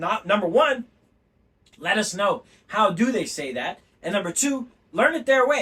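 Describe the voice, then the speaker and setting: Raised and projected, a man's high, bright, sharp voice takes an animated tone with very wide pitch swings, moving at a moderate pace with long, frequent pauses. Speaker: language teacher. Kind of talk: lecture.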